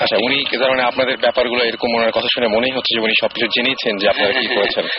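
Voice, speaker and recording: Over noticeable background noise, a man speaks at medium pitch with monotone, flat intonation and very even loudness. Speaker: radio horror show host. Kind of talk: radio interview questions to a caller.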